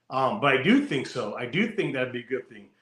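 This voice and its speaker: Talking at a fairly quick pace, a man with an American accent is heard with audible room echo. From California. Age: 40s. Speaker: motorcycle show host and biker. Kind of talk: casual interview.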